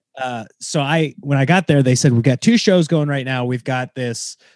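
A man with an American accent speaks in an ordinary speaking voice at medium pitch with ordinary variation. The pace is moderate, and the sound is dry and close with no echo against a quiet background. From Nebraska. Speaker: stand-up comedian. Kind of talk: casual interview chat.

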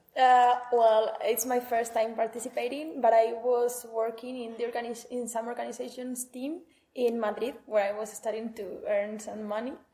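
Her voice has a dark, mellow tone and sits fairly high for a woman, but her intonation stays monotone and flat. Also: moderate pace. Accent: Spanish. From northern Spain, Huesca. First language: Spanish. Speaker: master's student. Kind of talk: interview. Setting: conference building.

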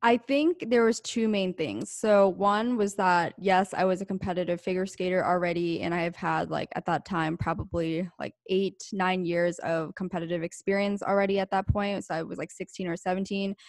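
An ordinary speaking voice from a woman at medium pitch, with fairly even intonation, hardly any pauses, a very clean recording with a silent background, and a dry, close sound with no echo. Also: moderate pace. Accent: American. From rural Pennsylvania. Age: 20s. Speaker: entrepreneur. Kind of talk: interview.

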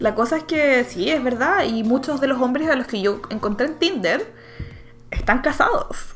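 Music plays behind a woman speaking in a Chilean accent at a moderate pace. Her pitch is high and her intonation lively. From Chile, Santiago (Maipú). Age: 20s. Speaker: English teacher living abroad. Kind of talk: casual chat.

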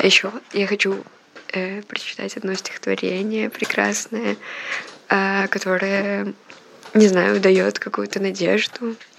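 Noticeable background noise sits behind a woman speaking at a very slow pace. Her speech has long, frequent pauses. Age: 20s. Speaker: student journalist under house arrest. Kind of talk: audio diary. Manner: hesitant, many fillers.

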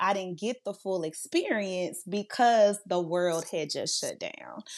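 A woman with a Louisiana accent at medium pitch, fairly slow pace and ordinary pitch variation, against a quiet background. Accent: US Southern (Louisiana). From Louisiana (Monroe). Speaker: youth services director. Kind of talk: interview.

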